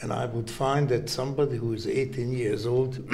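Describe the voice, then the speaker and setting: A man with a Hungarian accent speaks at a fairly slow pace, somewhat breathy, with a dark, mellow tone. The room echo is audible. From Hungary. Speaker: heart surgeon. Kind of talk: interview. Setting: medical congress.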